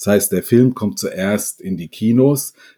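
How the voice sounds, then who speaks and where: A man's dark, mellow tone, fairly slow pace and ordinary pitch variation, in a very clean recording with a silent background. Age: 50s. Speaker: professor of business informatics, games industry expert. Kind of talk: interview.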